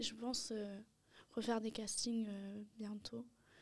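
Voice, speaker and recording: Her pace is very slow and her intonation monotone and flat. The woman's pitch is fairly high, with noticeable background noise. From Paris, France. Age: 20s. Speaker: art student and painter. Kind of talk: interview. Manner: halting, many hesitations.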